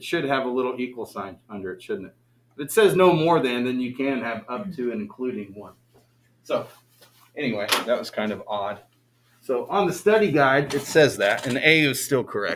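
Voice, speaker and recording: A man with an unremarkable speaking voice talks at a moderate pace and medium pitch, his intonation lively and his loudness swinging widely. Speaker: math teacher. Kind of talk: classroom lecture. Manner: casual, conversational.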